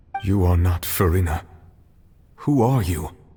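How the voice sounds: Using a cartoonish character voice, a man speaks at a moderate pace with a very deep, low pitch.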